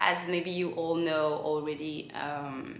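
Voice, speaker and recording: A woman speaks with a Belgian accent. Noticeable background noise and audible room echo surround her voice. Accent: French-speaking Belgian accent in English. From Belgium. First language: French. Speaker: content creator. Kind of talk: casual Q&A vlog.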